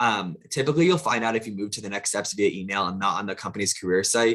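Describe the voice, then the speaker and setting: This man talks at a very fast pace, his fairly low voice showing ordinary pitch variation. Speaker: recruiter. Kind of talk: webinar presentation.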